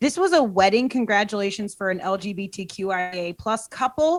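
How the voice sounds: A woman with a Boston accent at medium pitch, fairly slow, with ordinary pitch variation, on a very clean recording with a silent background.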